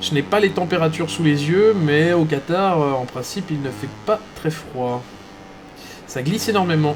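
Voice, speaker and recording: A man's fairly high-pitched voice with lively intonation over noticeable background noise. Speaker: esports race commentator. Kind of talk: live commentary. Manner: hesitant, many fillers.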